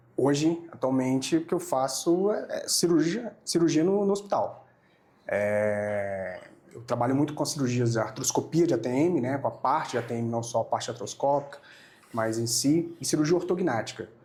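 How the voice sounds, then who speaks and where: This man has a fairly high pitch and a dark, mellow tone, speaking at a moderate pace with lively intonation. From Brazil, Amazonas state. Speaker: oral and maxillofacial surgeon. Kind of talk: podcast interview. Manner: hesitant, with many fillers and repetitions.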